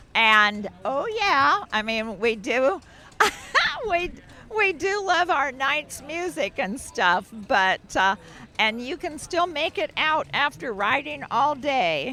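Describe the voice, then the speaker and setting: Over noticeable background noise, a woman uses a raised, projected voice at a high pitch, speaking at a very slow pace with very wide pitch swings. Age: 70s. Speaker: cyclist interviewed at event. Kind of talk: casual interview.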